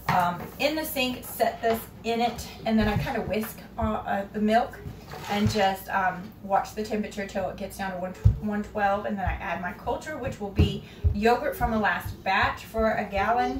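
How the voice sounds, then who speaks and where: Music in the background behind a woman at a moderate pace, with ordinary pitch variation. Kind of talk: tutorial. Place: kitchen.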